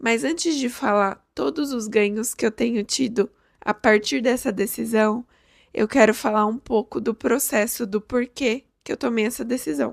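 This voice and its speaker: A fairly high-pitched woman speaks at a fairly slow pace, with vocal fry and ordinary pitch variation. The very clean recording has a silent background and a dry, close sound with no echo. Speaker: podcast host. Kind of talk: casual monologue.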